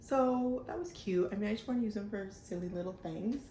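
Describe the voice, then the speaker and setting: A woman's dark, mellow, somewhat breathy voice at a moderate pace, with ordinary pitch variation and audible room echo. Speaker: knitting podcaster. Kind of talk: casual vlog chat. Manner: casual, filler-heavy.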